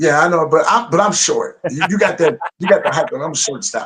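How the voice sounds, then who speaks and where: Talking at a fairly quick pace, a man with an American accent has a high-pitched voice. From US Midwest, Davenport, Iowa. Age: 50s. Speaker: wrestling promotion social media and talker. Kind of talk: casual interview chat.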